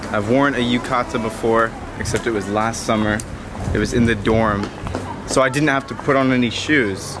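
A man talks at a moderate speed. Behind him, music plays. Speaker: travel vlogger. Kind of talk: casual vlog chat. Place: street. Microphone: phone near.

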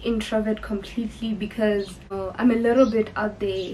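Monotone, flat intonation marks this South African accent, heard over light background noise. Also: woman. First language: Sepedi. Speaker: YouTuber. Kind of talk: casual get-to-know-me Q&A vlog. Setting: filming in her bedroom. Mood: cheerful, relaxed. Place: home room. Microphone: camera far.

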